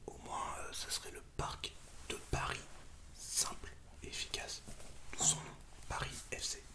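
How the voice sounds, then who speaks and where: A man whispering at a fairly slow pace, with long, frequent pauses and noticeable background noise. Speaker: ASMR creator. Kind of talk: casual ASMR talk about football. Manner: whispered.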